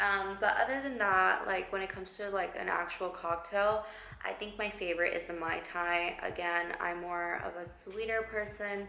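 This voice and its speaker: With audible room echo and noticeable background noise, a woman speaks at a medium pitch and moderate pace, her intonation fairly even. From Texas, McAllen (Rio Grande Valley). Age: 20s. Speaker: lifestyle vlogger. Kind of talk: casual Q&A vlog. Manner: chatty with many fillers.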